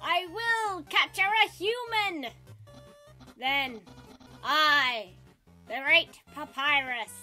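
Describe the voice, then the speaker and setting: In a put-on character voice pitched high, the speaker talks very slowly with long, frequent pauses over faint background music. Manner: grandiose, proud.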